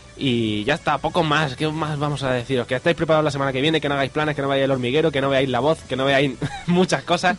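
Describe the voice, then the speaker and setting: Over music in the background, the speaker talks at a very fast pace with fairly even intonation. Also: man, fairly high pitch for a man. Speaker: radio film show host. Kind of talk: casual radio chat.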